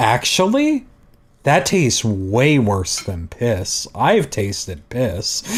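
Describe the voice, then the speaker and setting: A man's somewhat breathy voice at medium pitch, with very wide pitch swings and a very slow pace. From Canada. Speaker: streamer, digital artist. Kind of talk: casual chat. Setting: live art stream.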